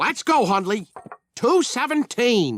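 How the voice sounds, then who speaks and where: A man's cartoonish character voice at an extremely high pitch, with very wide pitch swings and a dry, close sound free of echo. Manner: fussy, earnest.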